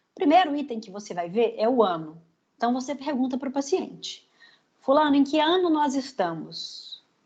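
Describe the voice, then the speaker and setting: A woman's high-pitched voice moves through very wide pitch swings and big swings in loudness. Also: moderate pace. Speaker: psychologist teaching a training class. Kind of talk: lecture.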